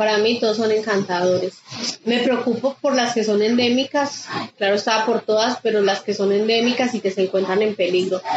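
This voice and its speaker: Amid noticeable background noise, a woman with a fairly high pitch speaks at a fairly quick pace, her loudness very even and her intonation fairly even. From Colombia, Quindío (Pijao). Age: 40s. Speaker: nature guide and birdwatcher. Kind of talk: interview testimony.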